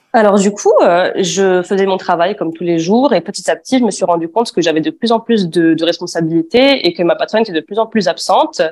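A woman's medium-pitched voice with lively intonation at a fairly quick pace. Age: 20s. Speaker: former aesthetic clinic assistant. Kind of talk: testimony. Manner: hesitant, many fillers.

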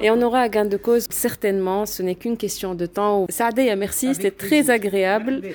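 Over noticeable background noise, a woman at a medium pitch talks at a moderate pace with hardly any pauses. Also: ordinary pitch variation. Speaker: radio host and podcast producer. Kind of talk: interview.

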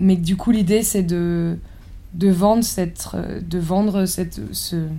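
A woman's medium-pitched, somewhat breathy voice with a dark, mellow tone, monotone and flat, at a very slow pace with long, frequent pauses, in audible room echo. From rural France. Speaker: architect and chef. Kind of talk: interview. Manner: halting.

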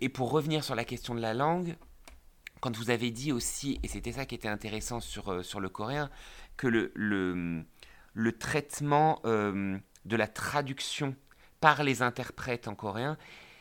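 The recording is very clean, with a silent background. A man talks at a fairly slow pace with long, frequent pauses, in a medium pitch with ordinary pitch variation. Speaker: podcast co-host. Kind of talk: podcast interview.

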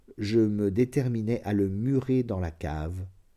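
A man with a solemn, dark, mellow tone and lively intonation, recorded very cleanly against a silent background. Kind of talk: audiobook reading of a literary short story, first-person confessional narration. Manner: measured, solemn, slow literary delivery with dark, tense gravity.

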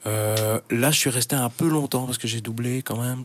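Medium-pitched male voice at a moderate pace, with fairly even intonation and noticeable background noise. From Brussels, Belgium (Schaerbeek). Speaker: radio presenter. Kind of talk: casual interview. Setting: radio studio. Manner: hesitant, many fillers.

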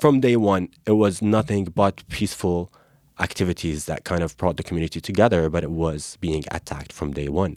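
Recorded very cleanly against a silent background, a man with a very deep, low pitch talks fairly slowly in a dry, close sound with no echo. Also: ordinary pitch variation. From Gaza, Palestine. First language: Arabic (speaking French). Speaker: Palestinian activist. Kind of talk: interview.

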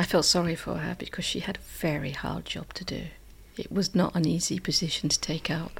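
On a very clean recording with a silent background, a woman talks at a fairly quick pace in a southern English accent. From southern England, Hampshire. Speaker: English teacher and school librarian. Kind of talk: interview.

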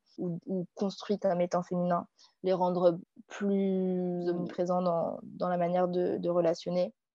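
A woman at a medium pitch, her dark, mellow tone in a dry, close sound with no echo. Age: 20s. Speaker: student. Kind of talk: interview.

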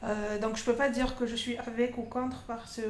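In a room with audible echo, a woman with a fairly high pitch speaks with monotone, flat intonation. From Algeria, Constantine (east). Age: 30s. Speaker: feminist activist. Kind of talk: interview. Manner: halting, many fillers.

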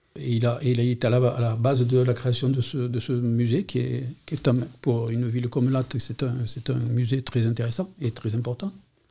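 A man speaks at a medium pitch with a dark, mellow tone and a somewhat breathy quality. His intonation stays fairly even, and his pace is moderate. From Montpellier, France. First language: Catalan (speaking French). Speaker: retired school administrator. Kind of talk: testimony. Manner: halting.

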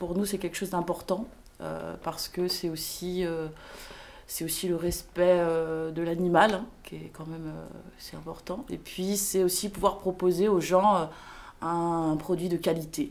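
Speaking at a fairly slow pace with long, frequent pauses, a woman uses a fairly low pitch and fairly even intonation while her loudness swings widely. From Paris. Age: 30s. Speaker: fly farmer. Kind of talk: casual interview.

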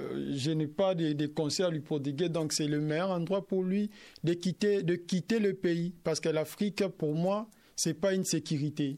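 The recording is very clean, with a silent background. A man speaks at a high pitch with fairly even intonation. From DR Congo. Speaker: asylum seeker, radio workshop participant. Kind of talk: live radio discussion.

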